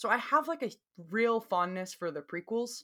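Southern US accent from a woman, delivered at a moderate pace. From US South. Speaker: podcast co-host. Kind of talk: casual chat.

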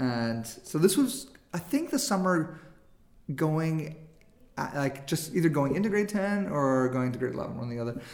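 Speaking at a moderate pace, a man with a normal speaking voice uses lively intonation at a fairly high pitch. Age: 40s. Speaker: filmmaker. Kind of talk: casual interview chat.

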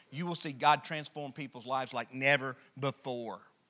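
A man with an Alabama accent, bright and sharp in tone, at a moderate pace, on a very clean recording with a silent background. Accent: Southern US (Alabama). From US South, rural Alabama. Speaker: pastor. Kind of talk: sermon. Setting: church. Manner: halting with many fillers.

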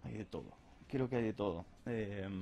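A man with a dark, mellow tone speaks at a moderate pace, using ordinary pitch variation. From Rosario, Argentina. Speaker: architect. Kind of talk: interview.

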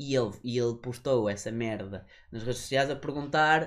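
A man at a medium pitch and a moderate pace. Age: 20s. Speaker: podcast co-host. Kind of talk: casual chat. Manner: animated.

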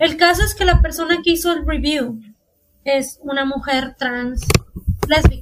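Speaking at a fairly slow pace with long, frequent pauses, a woman uses a high pitch with ordinary pitch variation. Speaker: podcast host. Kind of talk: casual chat.

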